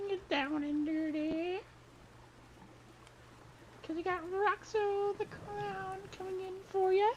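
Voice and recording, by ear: A put-on character voice, squeaky and strained, sits at an extremely high pitch and moves at a fairly slow pace. Long, frequent pauses break it up, and clear background noise runs underneath.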